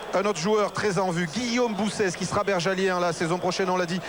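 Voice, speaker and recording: The fairly even intonation comes through noticeable background noise and audible room echo. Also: man. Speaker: TV rugby presenter. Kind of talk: live TV broadcast, halftime studio. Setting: pitch-side TV set in stadium, noisy. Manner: loud, speaking up over noise.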